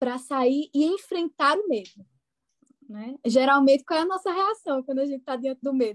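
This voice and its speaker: A woman at a moderate pace with lively intonation, in a dry, close sound with no echo. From Brazil, interior of Pernambuco. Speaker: psychologist. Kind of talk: casual podcast interview.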